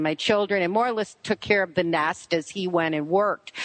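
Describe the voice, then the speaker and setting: Noticeable background noise runs under the clip. A woman speaks with a Buffalo accent. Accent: Western New York (Buffalo). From Buffalo, New York. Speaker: radio show host, author, interview guest.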